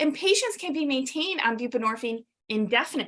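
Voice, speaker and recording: A woman talks at a high pitch with lively intonation. The background is quiet. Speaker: addiction medicine physician; presenter. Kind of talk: webinar lecture. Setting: webinar. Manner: fast.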